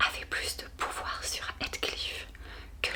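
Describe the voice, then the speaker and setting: In a whisper and at a very slow pace, a woman speaks over noticeable background noise. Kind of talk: audiobook reading for sleep. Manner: whispered, soft-spoken.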